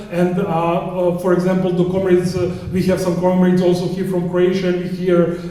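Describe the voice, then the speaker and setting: Noticeable background noise and audible room echo surround a man whose high-pitched voice stays monotone and flat. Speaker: anti-war activist. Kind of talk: conference talk. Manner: halting, many fillers.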